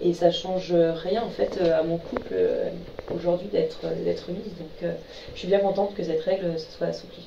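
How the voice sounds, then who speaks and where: There is noticeable background noise around this woman's voice. The room echo is audible too. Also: moderate pace. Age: 20s. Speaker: beauty pageant contestant. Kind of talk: radio interview. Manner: hesitant, many fillers.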